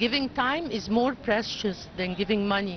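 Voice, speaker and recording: With an Arabic accent, a woman talks at a moderate pace in a fairly high, somewhat breathy voice, the sound dry with no echo and light background noise. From Egypt. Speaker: engineer and NGO board member. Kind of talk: interview. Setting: studio. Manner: halting. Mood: earnest, committed. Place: boat. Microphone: handheld.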